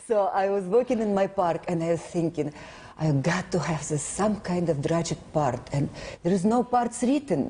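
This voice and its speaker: A woman speaks at a moderate pace with a non-native accent and a fairly low pitch. Her intonation is lively, and her loudness stays very even. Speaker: actress. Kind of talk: interview.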